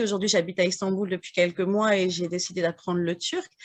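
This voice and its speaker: Fairly quick speech from a woman, quiet in the background. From northern France, Burgundy (Morvan). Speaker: French as a foreign language teacher, audience member. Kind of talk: audience question and testimony. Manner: halting, many hesitations.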